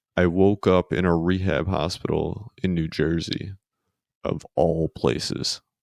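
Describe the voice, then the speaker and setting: A man with an American accent speaks softly in a very deep, low voice at a fairly slow pace, his intonation fairly even, and the sound is dry and close with no echo. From Queens, New York. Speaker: podcast guest, spinal injury survivor. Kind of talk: casual chat. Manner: monotone; soft-spoken.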